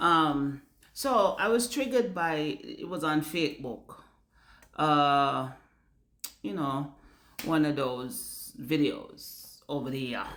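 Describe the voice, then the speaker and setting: In a Jamaican accent, the speech moves at a very slow pace with long, frequent pauses and very wide pitch swings. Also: woman, very deep, low pitch for a woman. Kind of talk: casual talk to camera. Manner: animated, candid.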